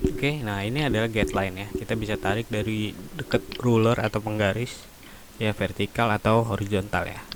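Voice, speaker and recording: Quiet and at a fairly quick pace, a man talks in a fairly low pitch with ordinary pitch variation amid noticeable background noise. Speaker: teacher. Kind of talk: tutorial. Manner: many fillers (eh, ya). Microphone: poor microphone.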